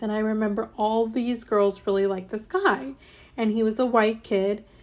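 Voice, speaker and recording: At a moderate pace, a woman with a Midwestern accent speaks at a fairly high pitch with ordinary pitch variation. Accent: General American (Midwest). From US Midwest, Ohio. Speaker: podcast host. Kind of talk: personal monologue.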